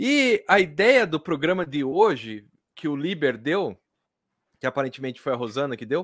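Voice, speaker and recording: In an animated tone, a man with a fairly high pitch speaks at a moderate pace, his pitch swinging very widely. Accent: Brazilian. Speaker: comics podcast host. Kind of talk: casual chat. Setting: video call.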